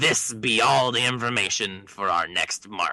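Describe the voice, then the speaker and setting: A man puts on a character voice at a medium pitch. He speaks at a fairly slow pace. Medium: read story. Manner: gruff, commanding.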